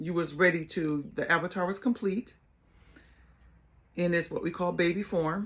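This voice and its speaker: Long, frequent pauses break up a woman's fairly low-pitched speech, which moves at a moderate pace with fairly even intonation. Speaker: life coach and spiritual healer. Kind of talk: solo spiritual talk. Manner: casual, conversational.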